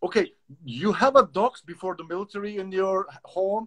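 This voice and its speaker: Speaking at a fairly slow pace with a Turkish accent, a man uses a high pitch and big swings in loudness, in a dry, close sound with no echo. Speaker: dog trainer and live-stream host. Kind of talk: casual interview chat. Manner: halting.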